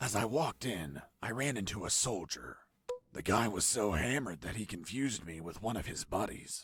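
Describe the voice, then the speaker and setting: Putting on a character voice, a man with a fairly low pitch talks at a moderate pace, pairing a deadpan tone with lively intonation. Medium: video game. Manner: deadpan, wry.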